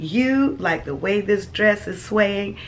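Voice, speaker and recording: A woman speaks in an animated tone with lively intonation. Noticeable background noise is present. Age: 60s. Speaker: lifestyle vlogger. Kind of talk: casual vlog chat.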